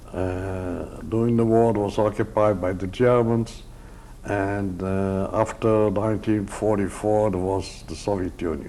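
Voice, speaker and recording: A dark, mellow voice moves at a fairly slow pace in a monotone, flat delivery, with audible room echo around it. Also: man, fairly low pitch for a man. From Poland (Drohobych, now Ukraine). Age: 70s. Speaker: Holocaust survivor. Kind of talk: oral history interview. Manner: halting, many hesitations.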